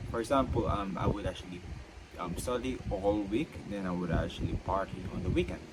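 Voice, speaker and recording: Over noticeable background noise, a man with a fairly low voice and ordinary pitch variation talks at a fairly quick pace. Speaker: vlogger. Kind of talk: casual monologue. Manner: halting, frequent fillers and restarts.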